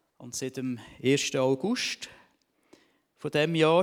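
A man at a very slow pace. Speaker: church member giving testimony, vocational trainer. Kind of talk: testimony.

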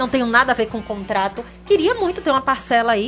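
A woman speaks at a fairly high pitch and a fairly quick pace. Noticeable background noise is present. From Sergipe, Brazil. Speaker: sports commentator. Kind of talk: casual chat.

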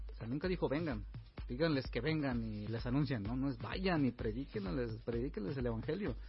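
A man speaks at a fairly quick pace while music runs in the background. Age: 30s. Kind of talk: interview.

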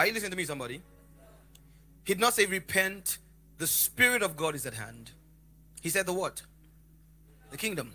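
A high-pitched man speaks fairly quickly in a raised, projected voice with lively intonation and an animated tone. His loudness swings widely, and he takes long, frequent pauses. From Lagos, Nigeria. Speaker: preacher. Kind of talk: sermon. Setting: church with live congregation. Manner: animated, interactive.

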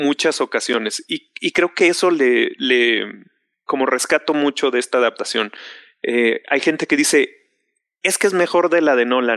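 A man's fairly high voice with a Mexican accent, bright and sharp in tone, lively intonation, a fairly slow pace and a dry, close sound with no echo. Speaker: film fan panelist. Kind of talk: casual chat. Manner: loud.

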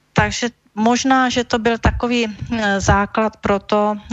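A woman is speaking. Her pace is very slow. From Czech Silesia, near Ostrava. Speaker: energy manager, former regulator head. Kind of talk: radio interview.

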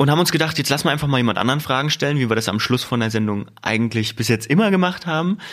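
Very fast and lively in intonation, a man speaks at a medium pitch. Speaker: podcast host. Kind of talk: casual podcast interview. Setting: podcast studio office.

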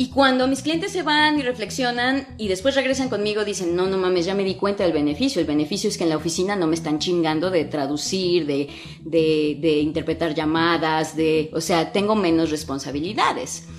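With hardly any pauses, a woman talks at a fairly quick pace and fairly low pitch, her intonation lively over noticeable background noise. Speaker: English teacher and podcast host. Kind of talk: casual Instagram live talk. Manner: animated, colloquial.

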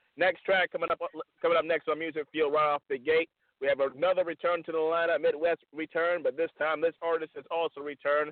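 A man speaks at a very fast pace in a fairly high pitch, his tone animated and energetic. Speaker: radio host. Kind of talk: live radio show hosting. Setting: phone/online call-in radio show. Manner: animated, energetic showman.

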